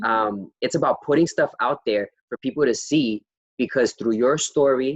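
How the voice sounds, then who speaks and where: A man talks at a moderate pace with ordinary pitch variation, in a plain, everyday voice. The sound is dry and close, with no echo. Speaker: interviewer, series host. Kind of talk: casual interview conversation.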